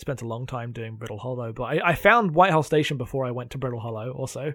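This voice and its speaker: A man with an English accent talks very fast at medium pitch, with ordinary pitch variation. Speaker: podcast co-host. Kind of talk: casual chat.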